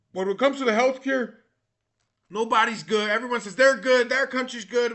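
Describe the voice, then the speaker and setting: The man's delivery has an animated tone. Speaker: vlogger. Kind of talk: casual monologue. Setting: recorded at a computer. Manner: loud.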